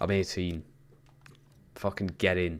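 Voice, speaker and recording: This man has a very deep, low voice and a Geordie accent. He talks at a moderate pace with fairly even intonation. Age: 20s. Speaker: gaming streamer. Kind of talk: casual chat. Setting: live stream.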